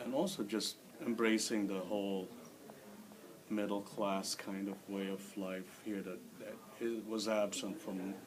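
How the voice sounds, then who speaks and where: Noticeable background noise and audible room echo surround a man speaking at a fairly low pitch. He goes at a fairly slow pace with fairly even intonation and long, frequent pauses. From Philippines (Manila). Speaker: immigrant interviewee. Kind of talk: interview.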